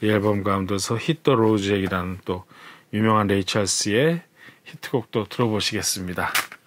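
Here is a man with a plain, everyday voice at a fairly low pitch and ordinary pitch variation. He keeps a moderate pace and very even loudness. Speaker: jazz radio host. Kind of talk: casual program preview talk. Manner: relaxed with frequent fillers.

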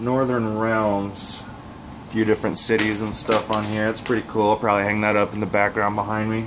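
Over light background noise, a man with a fairly low pitch talks at a moderate pace. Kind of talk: casual unboxing commentary. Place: home room. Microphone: camera far.

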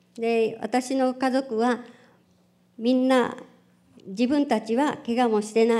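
A woman speaks very slowly in a fairly high pitch. Her tone is dark and mellow. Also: quiet background. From Japan (Hiroshima); Japan. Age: 70s. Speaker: atomic bomb survivor. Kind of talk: testimony. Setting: public event with audience. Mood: solemn, grave recollection. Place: hall. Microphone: podium.

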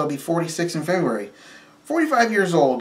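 A man talks with lively intonation at a moderate pace. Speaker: vlogger. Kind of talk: casual vlog chat, personal testimony. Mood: reflective, candid, some laughter.

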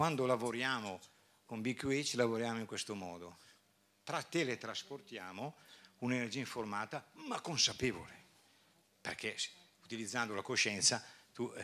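A man with a bright, sharp tone speaks at a moderate pace with ordinary pitch variation and long, frequent pauses. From northern Italy, Bergamo area; northern Italy. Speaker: doctor and conference speaker; conference speaker. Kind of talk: conference talk. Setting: stage with audience. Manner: halting, with repetitions. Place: hall. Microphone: handheld.

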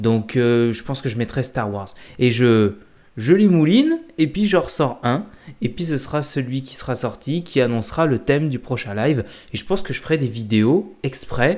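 A man speaks with lively intonation at a moderate pace, the background quiet. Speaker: youtuber. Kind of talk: casual vlog chat. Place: home room. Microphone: webcam.

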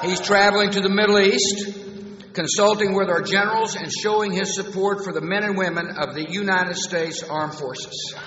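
A man speaks at a moderate pace in a high voice, with fairly even intonation and hardly any pauses. Audible room echo and light background noise are present. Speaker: U.S. president giving a commencement speech. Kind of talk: commencement speech with humor. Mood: warm, humorous. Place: hall. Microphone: podium.

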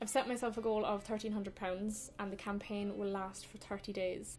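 A woman speaks with a Cork accent at a medium pitch, her intonation monotone and flat. Music plays in the background. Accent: Irish, Cork. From Ireland. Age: 20s. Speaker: singer-songwriter. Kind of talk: casual talk to camera.

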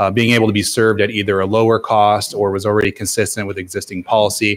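A man with a fairly low pitch at a fairly quick pace. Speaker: city planning staff member. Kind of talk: staff briefing at a public council meeting. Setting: council chamber with public audience. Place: hall.

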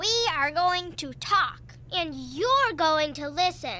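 A cartoonish character voice moves at a fairly slow pace, with clear background noise behind it. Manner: firm, defiant.

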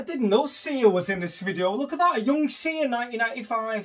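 A man speaks at an extremely high pitch with a fairly bright tone. His intonation is lively and his pace fairly quick.

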